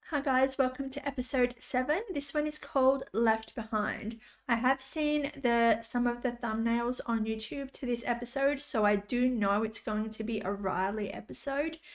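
A woman's high voice with ordinary pitch variation and hardly any pauses, over a quiet background. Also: moderate pace. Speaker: gaming youtuber reacting to a tv show. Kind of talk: reaction video commentary. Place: home room.

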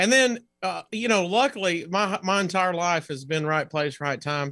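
At a moderate pace, the speaker uses a raised, projected voice with a bright, sharp tone, ordinary pitch variation and an American accent against a quiet background. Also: man. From US South. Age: 40s. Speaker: comedian. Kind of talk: casual chat. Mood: nostalgic, friendly. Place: home room.

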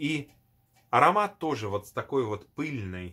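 Against a quiet background, the voice moves very slowly in a bright, sharp tone with very wide pitch swings. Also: man. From former Soviet Union. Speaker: perfume video blogger; perfume reviewer. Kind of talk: product review. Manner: hesitant, many fillers. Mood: nostalgic, enthusiastic.

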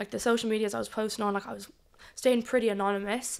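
A woman speaks in a flat monotone. The background is quiet. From Ireland. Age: 20s. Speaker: adult content creator. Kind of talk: casual chat. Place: studio. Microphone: studio mic.

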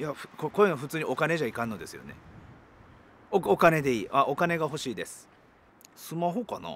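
A man talks with lively intonation, vocal fry, big swings in loudness, and long, frequent pauses. The sound is dry with no echo, over light background noise. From Japan, Ehime; Japan. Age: 40s. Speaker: rock band guitarist. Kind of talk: interview answers. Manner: hesitant, many fillers. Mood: relaxed, light-hearted. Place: open country.

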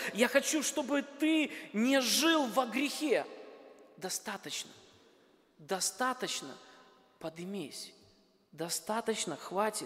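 A man speaks at a very slow pace with long, frequent pauses and an extremely high pitch. His intonation is lively, and there is noticeable background noise. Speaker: pastor. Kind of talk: sermon. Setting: church.

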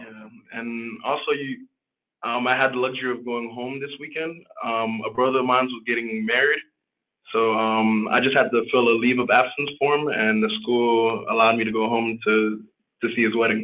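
Here a man speaks with an American accent at a medium pitch and a moderate pace. His intonation is monotone and flat. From Miami, Florida. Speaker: medical student; panelist. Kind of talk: panel discussion. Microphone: video call.

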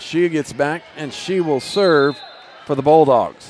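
Faint music plays in the background of this dry recording with no echo. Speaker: volleyball play-by-play announcer. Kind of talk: live sports commentary of a volleyball match. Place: hall.

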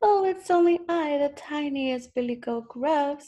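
A woman's put-on character voice, high in pitch. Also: moderate pace.

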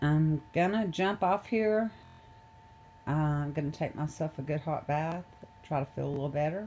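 A woman's very deep, low-pitched voice at a moderate pace, with ordinary pitch variation and long, frequent pauses. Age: 40s. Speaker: video blogger. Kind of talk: casual vlog talk to camera. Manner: halting, with many fillers and laughs.

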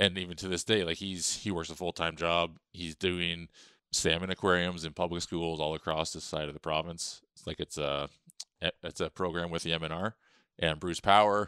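A man with a very deep, low, bright, sharp voice speaks in a monotone, flat way at a moderate pace, with big swings in loudness, in a very clean recording with a silent background and a dry, close sound with no echo. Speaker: powerlifter living with heart disease. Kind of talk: casual interview chat.

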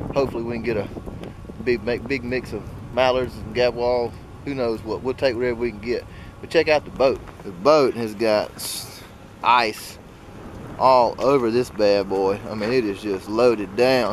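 With an Alabama accent, a man speaks at a moderate pace with long, frequent pauses and fairly even intonation, the sound dry with no echo and light background noise present. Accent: US Southern (Alabama). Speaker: hunting vlogger. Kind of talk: vlog narration. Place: open country. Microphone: phone near.

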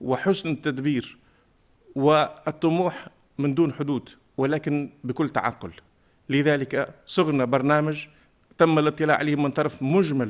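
Against a quiet background, a man with a fairly high pitch speaks at a fairly slow pace with fairly even intonation. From southern Tunisia, Remada; southern Tunisia. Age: 50s. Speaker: parliamentary candidate, teacher; candidate, teacher. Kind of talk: campaign speech. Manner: formal. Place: studio. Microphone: podium.

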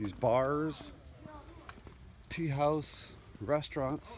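The delivery is very slow, in a dry sound with no echo. Light background noise runs underneath. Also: man. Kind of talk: casual vlog chat. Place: waterside. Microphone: phone near.

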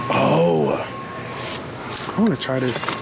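Background noise is noticeable. A man talks over it. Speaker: lifestyle vlogger. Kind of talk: casual vlog talk to camera. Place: shop. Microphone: phone near.

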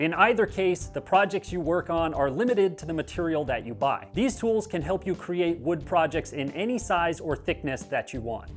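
A man speaks with a high pitch. Faint music plays in the background. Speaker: woodworking channel host. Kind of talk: tutorial. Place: workshop.

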